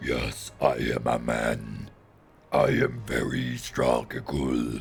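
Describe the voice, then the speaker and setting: A man's put-on character voice, guttural and raspy, very deep and low, at a very slow pace. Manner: mocking, exaggerated.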